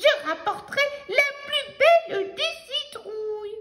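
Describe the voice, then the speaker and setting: In a put-on character voice, the speaker goes at a fairly slow pace with extremely high pitch. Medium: read story. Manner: excited, flustered.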